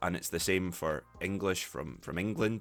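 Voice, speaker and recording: Speaking at a fairly quick pace, a man uses fairly even intonation with vocal fry. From Scotland. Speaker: English teacher, podcast host. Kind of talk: educational podcast talk.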